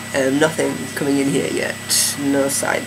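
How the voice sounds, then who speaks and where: Noticeable background noise runs through the clip. Room echo is audible as well. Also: man. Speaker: video blogger. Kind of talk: vlog update. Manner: hesitant, many fillers.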